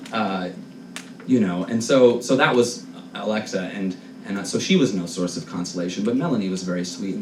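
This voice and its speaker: A man's fairly low voice with an American accent and lively intonation, over noticeable background noise and audible room echo. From Long Island, New York. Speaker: storyteller and musician. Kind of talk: live storytelling. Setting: stage with audience.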